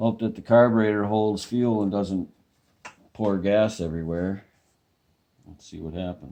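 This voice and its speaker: A man's dark, mellow, fairly low voice with fairly even intonation, big swings in loudness, a moderate pace and long, frequent pauses. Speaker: small engine repairer. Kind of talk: casual talk to camera. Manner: mumbling.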